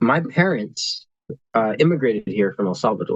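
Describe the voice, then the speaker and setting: A man speaks at a moderate pace, somewhat breathy, his pitch swinging very widely. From California, Santa Cruz area. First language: Spanish. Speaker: podcast guest. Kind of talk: casual interview conversation.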